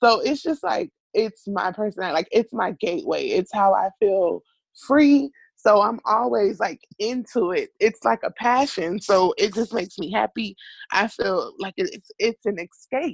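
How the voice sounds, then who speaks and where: With a dry, close sound and no echo, a woman speaks in an unremarkable speaking voice, fairly high in pitch and lively in intonation. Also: moderate pace. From US South, Miami, South Florida. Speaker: academic advisor. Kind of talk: interview.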